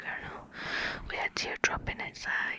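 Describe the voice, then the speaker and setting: A woman whispering at a very slow pace, with noticeable background noise. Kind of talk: ASMR poetry reading. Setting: close mic. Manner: whispered.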